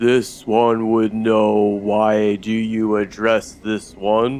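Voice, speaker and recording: A man puts on a character voice, speaking at a very slow pace with a medium pitch. His resonant delivery stays flat and monotone. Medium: actual play. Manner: formal, speaks of himself in third person.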